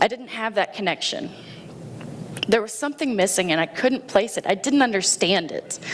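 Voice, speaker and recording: Noticeable background noise sits behind a woman speaking at a moderate pace. Her pitch is fairly high and her intonation lively. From Indiana, US Midwest. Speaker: Navy veteran and schoolteacher. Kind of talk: personal story talk. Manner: loud; animated.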